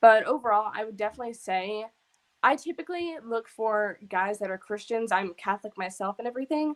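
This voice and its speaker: A woman with an American accent and a plain, everyday voice speaks at a fairly quick pace, her fairly high pitch moving in lively intonation, on a very clean recording with a silent background. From New York. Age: 20s. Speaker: guest panelist, university student. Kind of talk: casual panel discussion.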